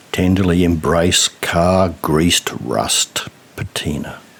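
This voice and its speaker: There is noticeable background noise as a man with a very deep, low pitch speaks at a very slow pace. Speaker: poet. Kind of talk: spoken word poetry.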